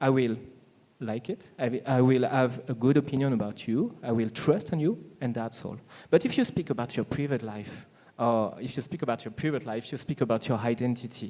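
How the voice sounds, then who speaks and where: With a French accent, a man talks fairly quickly in a dark, mellow tone with ordinary pitch variation. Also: medium pitch for a man. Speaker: business panelist. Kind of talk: panel discussion. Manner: halting, many fillers.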